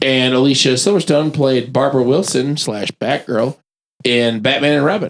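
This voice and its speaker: A man speaks in an unremarkable speaking voice at a medium pitch and moderate pace, his loudness very even. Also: ordinary pitch variation. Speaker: podcast panelist. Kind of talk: casual chat.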